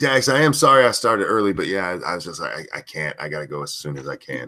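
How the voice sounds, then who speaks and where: Putting on a raspy character voice, a man speaks at a very fast pace, his fairly low pitch making very wide swings. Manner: weary.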